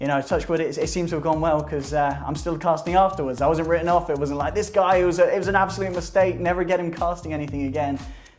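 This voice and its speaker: Over music in the background and audible room echo, a man talks at a very fast pace with hardly any pauses, using a high pitch and fairly even intonation. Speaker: esports commentator. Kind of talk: interview.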